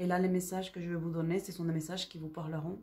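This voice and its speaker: A woman talks very fast in a fairly low, somewhat breathy voice with a dark, mellow tone and monotone, flat intonation. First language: not French (speaking French). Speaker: psychic medium. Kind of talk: spiritual guidance talk. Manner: hesitant, repeats words.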